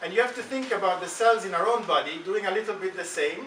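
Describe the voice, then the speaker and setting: In an Italian accent, a man talks at a fairly quick pace. Noticeable background noise and audible room echo are present. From Italy. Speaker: stem cell scientist. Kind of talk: talk to school students. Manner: halting, many fillers.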